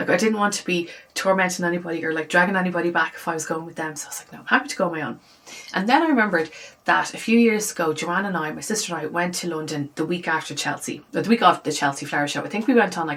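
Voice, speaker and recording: A woman talks at a very fast pace in a fairly low pitch with an animated tone and ordinary pitch variation. Her loudness swings widely, and noticeable background noise is present. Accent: Irish. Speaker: lifestyle vlogger. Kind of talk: casual vlog chat. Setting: home office. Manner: chatty, animated.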